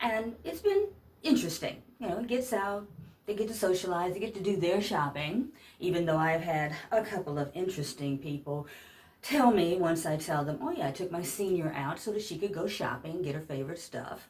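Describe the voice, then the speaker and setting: Somewhat breathy and fairly low in pitch, a woman with an American accent talks at a fairly quick pace with lively intonation. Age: 60s. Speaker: vlogger, senior pageant titleholder and caregiver. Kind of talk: casual vlog rant. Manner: animated.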